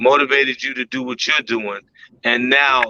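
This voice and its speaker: A man's voice at medium pitch has a bright, sharp tone and monotone, flat intonation, in a dry, close sound with no echo. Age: 60s. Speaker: truck driver. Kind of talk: casual chat.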